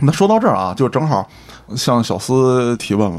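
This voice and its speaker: A man's medium-pitched voice with very wide pitch swings over noticeable background noise. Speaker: podcast host. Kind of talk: casual chat.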